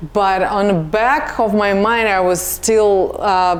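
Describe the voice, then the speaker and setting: Noticeable background noise sits behind a woman speaking with a Russian accent. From Russia, Samara. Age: 40s. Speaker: nurse. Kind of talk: casual chat.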